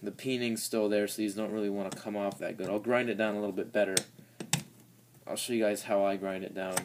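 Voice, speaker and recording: Noticeable background noise sits behind a man talking very fast. His fairly low voice stays monotone and flat. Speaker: DIY mechanic. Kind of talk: tutorial. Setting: home garage workshop. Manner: casual, halting. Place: workshop. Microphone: phone near.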